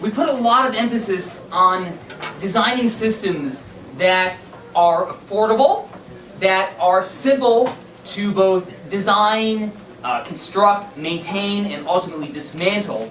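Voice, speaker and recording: Speaking at a fairly slow pace, a man with a high pitch and ordinary pitch variation is heard amid noticeable background noise and audible room echo. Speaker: author and sustainability activist. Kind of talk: public presentation. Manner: loud, projecting voice.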